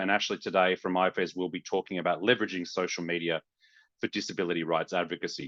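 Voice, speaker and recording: With a very deep, low pitch and a bright, sharp tone, a man talks at a fairly quick pace over a quiet background, the sound dry and close with no echo. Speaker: webinar moderator. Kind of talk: webinar introduction. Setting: video call.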